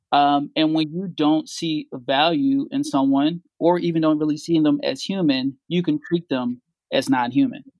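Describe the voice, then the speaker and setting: A man with an American accent has an ordinary speaking voice at a fairly high pitch. He keeps a moderate pace with ordinary pitch variation. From Philadelphia, North Philly. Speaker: tech business co-founder. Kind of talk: casual interview. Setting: remote call.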